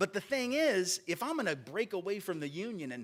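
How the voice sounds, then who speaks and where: In a Southern US accent, a man with a high pitch talks at a moderate pace in an animated tone, his pitch swinging very widely on a very clean recording with a silent background. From US South. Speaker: lecturer. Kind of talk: lecture.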